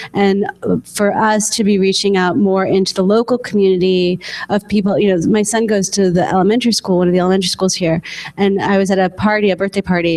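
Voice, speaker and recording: Speaking at a very fast pace, a woman with a medium-pitched voice is heard over noticeable background noise. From New York. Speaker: theater producer. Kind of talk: panel discussion. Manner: halting.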